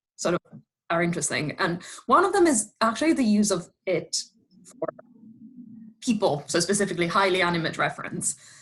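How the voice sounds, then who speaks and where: A woman with a medium pitch and a somewhat breathy voice talks fairly quickly with lively intonation. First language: Italian. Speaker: audience member, linguist. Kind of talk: question in Q&A. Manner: halting, repeats words.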